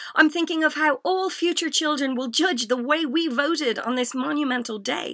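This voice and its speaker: A woman with an Irish accent uses a raised, projected voice and lively intonation at a moderate pace. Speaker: spoken word poet. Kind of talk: spoken word poetry performance. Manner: comedic, impassioned.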